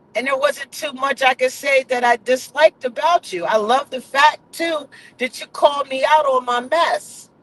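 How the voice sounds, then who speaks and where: Loud and animated, a man talks with hardly any pauses. His pitch is extremely high. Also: ordinary pitch variation, moderate pace, dry, close sound with no echo. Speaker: vlogger. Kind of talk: casual chat.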